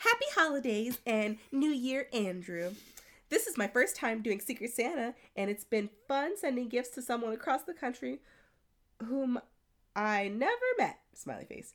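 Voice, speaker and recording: A squeaky, female-sounding put-on character voice, high-pitched for a woman, speaks at a moderate pace in a very clean recording with a silent background. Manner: reading a note in a put-on voice.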